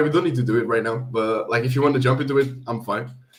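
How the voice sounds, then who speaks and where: The speech comes at a very fast pace. Both audible room echo and noticeable background noise are present. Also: man. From Portugal. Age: 20s. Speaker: professional wrestler. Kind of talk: podcast interview. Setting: live stream.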